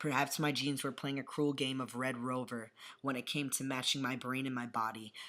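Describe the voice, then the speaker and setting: This man's tone is bright and sharp, at a medium pitch and moderate pace. His intonation is monotone and flat, in a very clean recording with a silent background. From New York. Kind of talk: poetry reading. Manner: occasionally tongue-tied.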